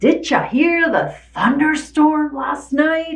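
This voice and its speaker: A woman's put-on character voice, high-pitched and very slow, with fairly even intonation. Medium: read story. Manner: polite, formal.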